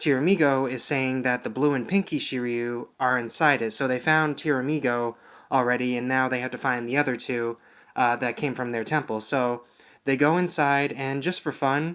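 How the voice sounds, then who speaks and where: A man speaks quietly at a moderate pace and medium pitch with fairly even intonation, in a very clean recording with a silent background. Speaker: TV show reviewer. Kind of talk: video review. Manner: monotone.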